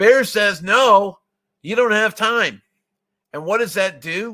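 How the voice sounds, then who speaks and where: A man's raised, projected voice, bright and sharp in tone, at a moderate pace. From US Northeast (Vermont). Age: old. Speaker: software testing consultant. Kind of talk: webinar presentation. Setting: online webinar. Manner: confident.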